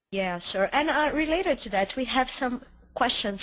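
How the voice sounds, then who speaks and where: With a Brazilian accent, a woman speaks in a bright, sharp tone with lively intonation. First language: Portuguese. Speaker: webinar moderator, editor. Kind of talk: webinar panel moderation. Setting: online webinar.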